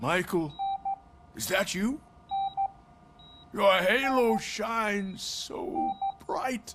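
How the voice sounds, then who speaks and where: A man's raspy, put-on character voice, high-pitched for a man, very slow, with long, frequent pauses. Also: ordinary pitch variation. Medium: video game.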